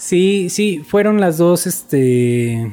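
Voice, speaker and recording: Lively intonation in a Mexico City accent. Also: man. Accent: Mexico City Spanish (chilango). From Mexico, Ciudad Nezahualcóyotl (Mexico City area). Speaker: dentist. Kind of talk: casual interview. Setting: at a home during a cookout.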